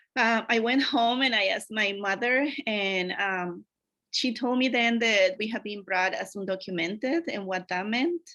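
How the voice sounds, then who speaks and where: This woman speaks with a Spanish accent and a bright, sharp tone. Her pitch varies in an ordinary way. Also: fairly high pitch for a woman, moderate pace. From Mexico, Acapulco, Guerrero. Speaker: academic advisor. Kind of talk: conference presentation.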